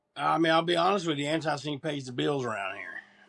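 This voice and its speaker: A man's voice is captured in a very clean recording with a silent background. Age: 60s. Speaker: punk rock frontman. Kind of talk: casual interview chat.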